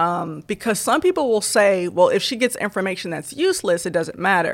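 With an American accent, a woman has an ordinary speaking voice, medium pitch and lively intonation. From Michigan, Southfield near Detroit. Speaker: physics doctoral student. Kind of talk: interview.

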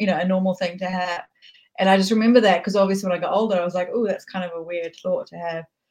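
Speaking at a very fast pace in a New Zealand accent, a woman of medium pitch sounds somewhat breathy, her intonation fairly even. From New Zealand, raised from childhood after leaving Tehran. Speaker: author and filmmaker. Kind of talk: casual interview chat.

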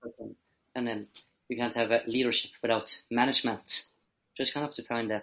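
A man with a Norwegian accent, medium pitch, monotone and flat intonation, and a moderate pace. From Norway. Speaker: social entrepreneur, youth leadership guest. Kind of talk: interview conversation. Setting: video call. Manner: halting, with many fillers.

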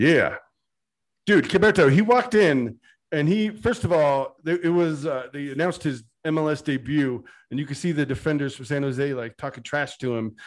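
At a moderate pace, a normal speaking voice carries lively intonation over a quiet background. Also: man, fairly high pitch for a man. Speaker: soccer podcast host. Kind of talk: casual banter podcast. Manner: joking, humorous.

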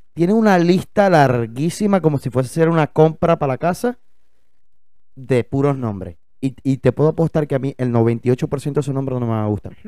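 A man speaks with lively intonation and a dark, mellow tone. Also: fairly high pitch for a man, moderate pace. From Venezuela, Maracaibo. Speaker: podcast co-host. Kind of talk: casual chat. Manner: animated.

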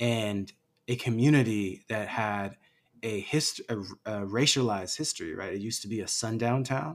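On a very clean recording with a silent background, an ordinary speaking voice with an American accent shows ordinary pitch variation. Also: man, medium pitch for a man, moderate pace. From Los Angeles. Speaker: actor and activist. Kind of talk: casual interview.

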